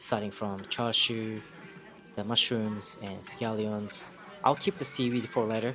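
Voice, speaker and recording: A man's medium-pitched voice with a Japanese accent, fairly slow and fairly even in intonation, with music in the background. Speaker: food reviewer. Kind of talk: casual food review to camera. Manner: hesitant, many fillers.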